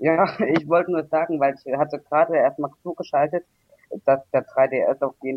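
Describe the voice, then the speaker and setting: A man speaks with fairly even intonation. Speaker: caller. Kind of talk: casual chat. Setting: internet call. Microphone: poor microphone.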